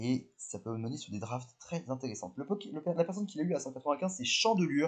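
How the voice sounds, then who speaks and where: A very fast, animated man's voice, fairly high in pitch, with very wide pitch swings. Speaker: Pokémon competitive commentator / YouTuber. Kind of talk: video commentary review.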